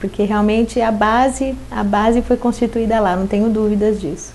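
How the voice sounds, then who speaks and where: A woman talks at a moderate pace in a Paulista accent. Her fairly high voice stays flat and monotone. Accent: Paulista Brazilian Portuguese. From Osasco, São Paulo, Brazil. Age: 40s. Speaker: city councillor. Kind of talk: interview.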